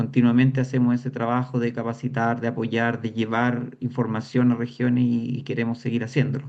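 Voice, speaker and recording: Flat and monotone, a man speaks at a medium pitch and a fairly quick pace. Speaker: patient association representative. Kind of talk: panel discussion.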